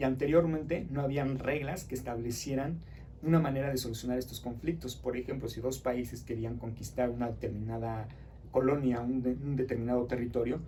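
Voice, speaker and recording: A man's fairly quick delivery with fairly even intonation, plus audible room echo. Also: medium pitch for a man. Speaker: teacher. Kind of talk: lecture. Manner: fast.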